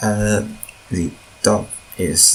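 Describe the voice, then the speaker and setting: Noticeable background noise accompanies this recording. A man with a non-native accent speaks at a fairly low pitch. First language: not English. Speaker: mod developer. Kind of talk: tutorial. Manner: halting, with fillers and repeats.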